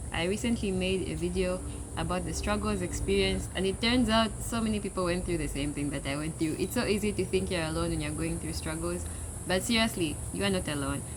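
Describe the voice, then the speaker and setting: A woman with a Zambian accent speaks at a fairly quick pace, with audible room echo and noticeable background noise. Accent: Zambian accent, kept. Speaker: international student vlogger. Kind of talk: casual unscripted talk to camera. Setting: outdoors.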